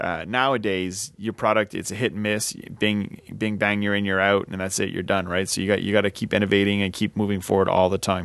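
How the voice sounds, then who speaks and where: Over a quiet background, a man with a French Canadian accent talks at a fairly quick pace with hardly any pauses, his fairly low pitch kept in a monotone, flat intonation. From Quebec, French Canadian. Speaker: podcast host. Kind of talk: casual chat. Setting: home studio with bar.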